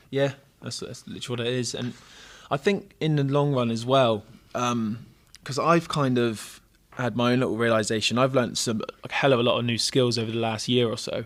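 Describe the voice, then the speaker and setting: A man at a medium pitch, talking at a fairly quick pace. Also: ordinary pitch variation. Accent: English. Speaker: gym coach and podcast co-host. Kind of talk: casual chat. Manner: stuttering at times.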